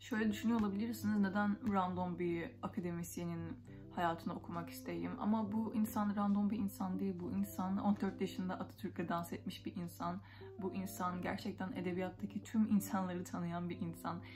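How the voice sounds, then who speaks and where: At a moderate pace, a woman talks over clear music in the background. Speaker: book vlogger. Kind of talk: casual book review chat. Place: home room. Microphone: phone near.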